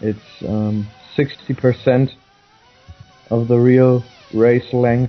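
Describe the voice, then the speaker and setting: With music in the background, a man with a non-native accent speaks at a very slow pace and a medium pitch, his intonation monotone and flat, with long, frequent pauses. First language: not English. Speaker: sim racing commentator. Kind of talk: live commentary. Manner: halting.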